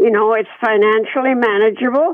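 A woman with a Canadian accent uses a normal speaking voice, fairly high in pitch with ordinary pitch variation. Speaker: retirement home resident. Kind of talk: radio interview.

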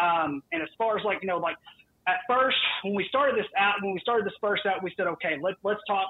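Very fast and high-pitched, a man talks in a Southern US accent with ordinary pitch variation. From US South. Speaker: sports podcast host, guest. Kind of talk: casual chat. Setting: phone call.

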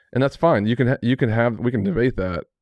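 A man speaks very fast, with ordinary pitch variation, in a dry, close sound with no echo against a quiet background. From Texas (Amarillo). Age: 40s. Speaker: ministry CEO. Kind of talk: casual interview.

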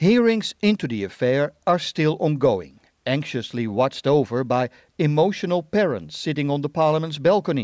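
A voice with very wide pitch swings, set against a quiet background. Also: man, fairly high pitch for a man, moderate pace, dry, close sound with no echo. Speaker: radio reporter. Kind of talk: scripted news reporting. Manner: steady, formal newsreading delivery.

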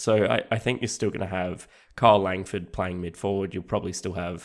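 In an Australian accent, a man speaks at a very deep, low pitch and a moderate pace. His intonation stays fairly even on a very clean recording with a silent background. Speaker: fantasy football analyst. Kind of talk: casual chat.

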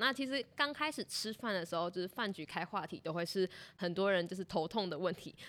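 A woman at a very fast pace, her intonation lively. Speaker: student podcast host. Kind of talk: interview.

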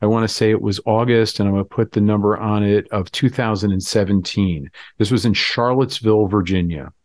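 In an American accent, a man with an unremarkable speaking voice talks at a moderate pace and fairly low pitch, with fairly even intonation, hardly any pauses and a quiet background. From Florida. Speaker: rabbi. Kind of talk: podcast interview conversation.

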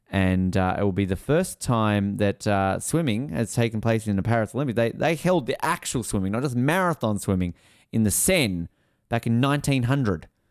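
An animated tone from a man with an Australian accent, lively intonation, medium pitch, moderate pace and very even loudness, on a very clean recording with a silent background. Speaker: podcast co-host. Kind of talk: casual chat. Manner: animated, jokey.

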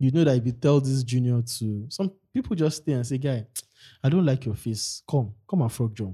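Somewhat breathy with a dark, mellow tone, the voice moves at a moderate pace with ordinary pitch variation. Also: man, medium pitch for a man. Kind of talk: casual chat.

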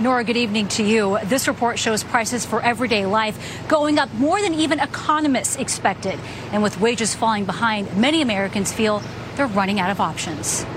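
Over noticeable background noise, a woman talks at a fairly quick pace and a fairly high pitch, with very even loudness and ordinary pitch variation. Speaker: TV news correspondent. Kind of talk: news report.

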